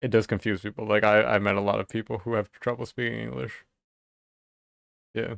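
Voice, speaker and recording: A man's fairly low voice with vocal fry, ordinary pitch variation and long, frequent pauses, dry and close with no echo in a very clean recording with a silent background. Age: 30s. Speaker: illustrator streaming live. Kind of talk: casual chat. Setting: live stream. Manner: casual, filler-heavy. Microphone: new microphone setup.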